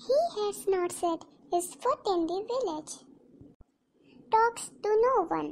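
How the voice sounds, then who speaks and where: A woman performs a cartoonish character voice at an extremely high pitch. Her tone is dramatic and her pace fairly slow. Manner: gossipy, dramatic.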